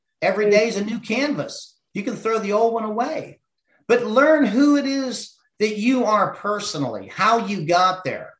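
A man with an American accent and a high pitch talks at a moderate pace with ordinary pitch variation, and audible room echo surrounds him. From Ohio hill country, US Midwest. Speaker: entrepreneur, former professional angler. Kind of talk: interview conversation. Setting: studio.

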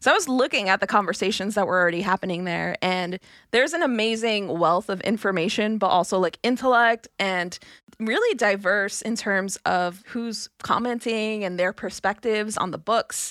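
A woman with an American accent in a plain, everyday voice, medium pitch, ordinary pitch variation and moderate pace, in a very clean recording with a silent background. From New York, Brooklyn. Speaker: podcast producer. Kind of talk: casual chat.

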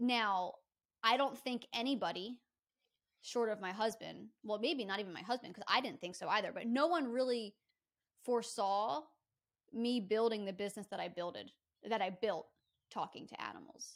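Fairly high for a woman, her voice has ordinary pitch variation at a moderate pace. Long, frequent pauses break up her speech. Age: 30s. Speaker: pet psychic. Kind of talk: casual chat.

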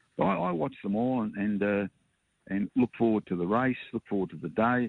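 A man with an Australian accent talks very fast in a fairly low voice with ordinary pitch variation. The sound is dry and close, with no echo. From Springvale, Victoria, Australia. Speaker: racehorse part-owner. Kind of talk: interview.

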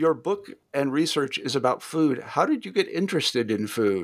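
A man in a Midwestern accent, very wide pitch swings and long, frequent pauses. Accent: general American Midwestern. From US Midwest. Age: 60s. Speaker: podcast host and interviewer. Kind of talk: casual interview.

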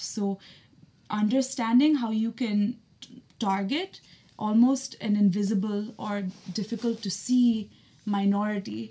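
A woman's somewhat breathy, dark and mellow voice with an American accent. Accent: Indian English, with American accent at work. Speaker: strategist and writer.

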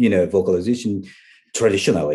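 A man speaks with a Japanese accent. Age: 50s. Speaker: metal vocalist and music journalist. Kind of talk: interview.

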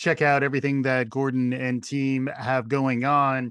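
A man at a medium pitch and moderate pace, with an unremarkable speaking voice. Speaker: podcast host. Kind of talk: interview conversation.

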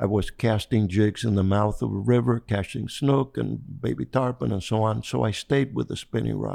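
Speaking with a Spanish accent at a moderate pace and hardly any pauses, a man uses lively intonation and a fairly low voice with a dark, mellow tone. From Cuba. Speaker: fly fishing angler. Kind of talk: interview. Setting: at home. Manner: calm, gentle.

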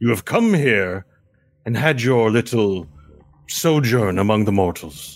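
At a moderate pace, a man performs a put-on character voice on a very clean recording with a silent background. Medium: actual play. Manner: formal, haughty.

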